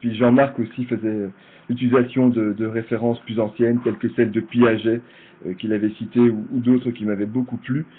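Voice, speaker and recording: Speaking in a Belgian accent, a man keeps a moderate pace, a medium pitch and monotone, flat intonation. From Belgium. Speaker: project manager and presenter. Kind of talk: virtual conference presentation. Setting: online conference, video call. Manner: hesitant, frequent repetitions.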